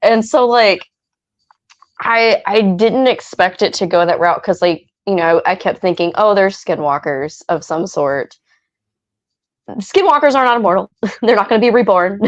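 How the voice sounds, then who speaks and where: A woman speaks with a West Virginia accent at a medium pitch and a moderate pace, her tone animated and her intonation lively. She leaves long, frequent pauses. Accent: West Virginian, lasting. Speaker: fan guest. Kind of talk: casual chat.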